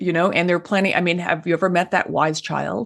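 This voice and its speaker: In an American accent, a woman talks at a fairly quick pace with vocal fry. Her pitch is very deep and low. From Washington DC. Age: 70s. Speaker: author and activist on ageism. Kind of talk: interview.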